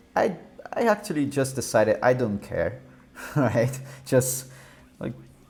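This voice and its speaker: The speaker talks at a fairly slow pace with a Brazilian Portuguese accent. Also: man. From southern Brazil. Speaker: software developer live streamer. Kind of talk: live coding stream. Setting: live stream. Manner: halting, many fillers and repeats.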